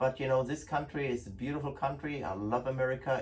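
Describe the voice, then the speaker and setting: A man's medium-pitched, somewhat breathy voice. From Germany. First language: German. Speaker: gun importer. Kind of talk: product presentation. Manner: casual, hesitant with fillers.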